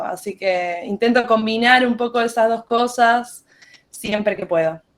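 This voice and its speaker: A woman speaks with a Rioplatense accent and fairly even intonation. Her pace is fairly slow. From Buenos Aires, Argentina. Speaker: musician and teacher. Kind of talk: casual chat.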